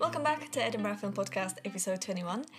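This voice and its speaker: Speaking at a very fast pace, a woman uses a medium pitch with noticeable vocal fry. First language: not English. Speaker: podcast host. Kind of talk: casual chat.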